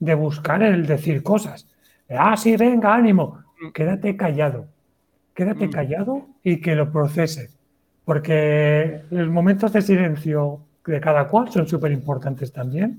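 Talking at a fairly slow pace, a man has an ordinary speaking voice with a fairly high pitch and ordinary pitch variation. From Valencia, Spain. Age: 30s. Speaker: writer and cyclist. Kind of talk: casual interview chat. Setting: video call livestream.

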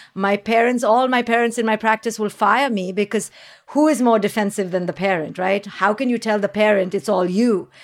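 A woman speaks with an Indian accent. Her pitch varies in an ordinary way. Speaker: clinical psychologist and parenting expert. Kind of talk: interview. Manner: articulate.

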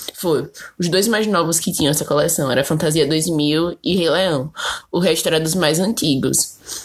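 An animated woman talks at a fairly slow pace with ordinary pitch variation. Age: 20s. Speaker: podcast host. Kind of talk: casual solo monologue.

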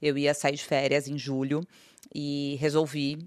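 A woman's very deep, low-pitched voice against a quiet background. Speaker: business executive. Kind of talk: interview.

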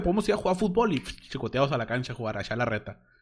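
There is a man speaking at a very fast pace in an animated tone with very wide pitch swings. The recording is very clean, with a silent background. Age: 20s. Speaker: podcast host and streamer. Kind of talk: casual monologue.

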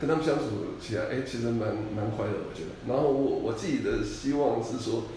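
Speaking at a fairly quick pace, a man is heard with noticeable background noise and audible room echo. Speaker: company employee rehired after retirement. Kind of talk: casual interview chat.

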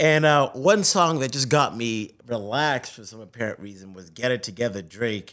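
With an American accent and an unremarkable speaking voice, a man of medium pitch talks at a moderate pace with lively intonation, big swings in loudness and hardly any pauses. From Zimbabwe, then Boston. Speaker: sports TV host. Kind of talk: casual interview chat.

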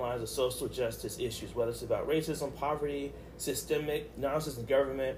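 A man at a moderate pace, with audible room echo. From Baltimore. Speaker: podcast host, minister. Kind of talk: casual interview about faith.

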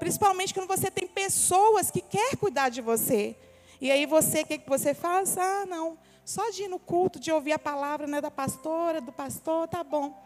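A woman talks at a moderate pace with extremely high pitch, lively intonation and big swings in loudness. Noticeable background noise runs underneath. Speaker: pastor. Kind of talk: sermon. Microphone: microphone cutting in and out.

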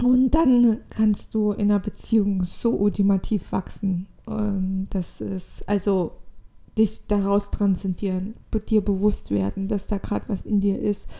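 Somewhat breathy and dark, mellow in tone, a woman speaks at a medium pitch and a fairly slow pace with monotone, flat intonation. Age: 20s. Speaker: spiritual podcaster. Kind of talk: solo spiritual monologue. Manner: halting.

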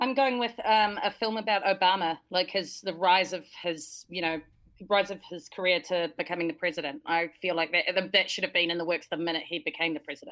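A woman with a New Zealand accent, medium pitch and ordinary pitch variation. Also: fairly quick pace. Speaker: podcast co-host. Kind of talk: casual livestream chat.

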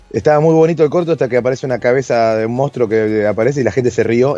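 A man talks at a very fast pace with a medium pitch. Noticeable background noise runs beneath him. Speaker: podcast co-host, filmmaker and improv actor. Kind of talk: casual chat. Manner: halting.

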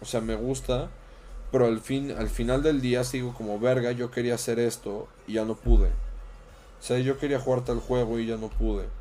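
This man speaks at a moderate pace with a Mexican accent and a dark, mellow tone. His pitch is medium and his intonation flat and monotone. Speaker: streamer. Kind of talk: casual chat.

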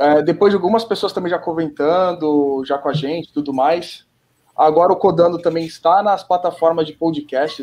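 In a plain, everyday voice, a man with a fairly high pitch talks at a moderate pace with fairly even intonation. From Brazil. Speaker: podcast host. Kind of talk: casual chat.

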